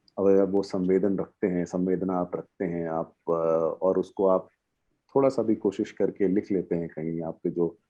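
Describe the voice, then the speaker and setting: Using fairly even intonation, a man with an Odia accent speaks at a very deep, low pitch. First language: Odia (speaking Hindi). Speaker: poet. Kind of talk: interview on a panel. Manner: halting, many fillers.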